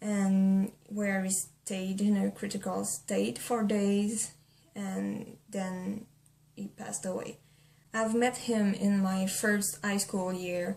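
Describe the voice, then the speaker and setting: Over noticeable background noise, a woman talks at a very slow pace in a flat monotone at medium pitch. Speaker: vlogger. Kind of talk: casual talk to camera. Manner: hesitant, not used to camera.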